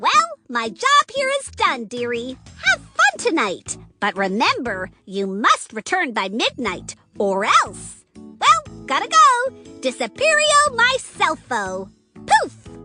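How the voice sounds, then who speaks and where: A cartoonish character voice, female-sounding, speaks at a fairly slow pace. Faint music plays in the background. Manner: sweet, calls people dearie.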